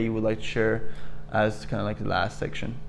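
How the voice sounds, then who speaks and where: A man is talking very fast. Music can be heard in the background. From Peru. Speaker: youtuber and qigong student. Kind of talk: interview conversation.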